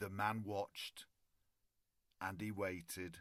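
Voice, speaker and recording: In a British accent, a man with a fairly low pitch speaks at a very slow pace on a very clean recording with a silent background. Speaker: storyteller. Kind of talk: children's bedtime story reading.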